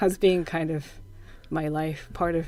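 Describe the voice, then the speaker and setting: A woman with a Japanese accent speaks at a fairly slow pace. Her voice sits fairly low in pitch. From Japan, Yokohama. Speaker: percussionist. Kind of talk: casual interview.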